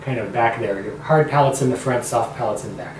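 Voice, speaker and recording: With audible room echo and noticeable background noise, a man speaks in a medium pitch with fairly even intonation. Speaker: vlogger with a voice disorder. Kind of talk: personal vlog talk.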